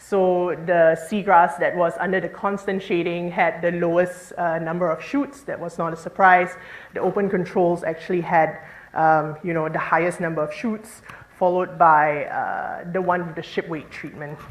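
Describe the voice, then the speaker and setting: Amid noticeable background noise and audible room echo, a woman speaks at a moderate pace with fairly even intonation. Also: fairly low pitch for a woman. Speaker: marine scientist. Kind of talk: conference talk.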